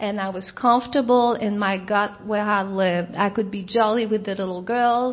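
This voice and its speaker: A woman with a French Canadian accent, fairly high pitch, fairly even intonation and a moderate pace. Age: 50s. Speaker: recovering alcoholic speaker. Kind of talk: recovery talk.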